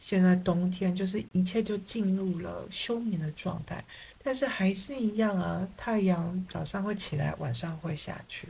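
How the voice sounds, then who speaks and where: Somewhat breathy speech from a woman at a fairly slow pace. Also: medium pitch for a woman, ordinary pitch variation. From Taiwan. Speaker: psychotherapist. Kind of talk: interview.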